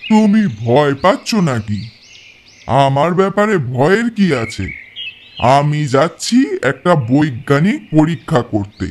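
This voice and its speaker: A man uses a put-on character voice at a fairly high pitch and a fairly slow pace. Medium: audio drama.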